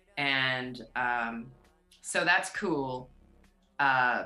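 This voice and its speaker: A woman talks in a very deep, low pitch. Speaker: singer. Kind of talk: interview.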